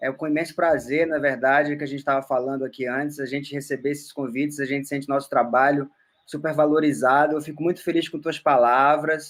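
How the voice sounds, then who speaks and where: A man talks at a fairly high pitch with monotone, flat intonation. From Roraima, northern Brazil. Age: 30s. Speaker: musician and anthropologist. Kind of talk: casual interview.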